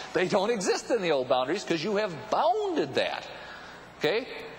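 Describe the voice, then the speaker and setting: A high-pitched man at a fairly quick pace, with very wide pitch swings and noticeable background noise. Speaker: keynote speaker and author on paradigms and the future. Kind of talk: live business keynote talk to an audience. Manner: conversational, humorous, engaging.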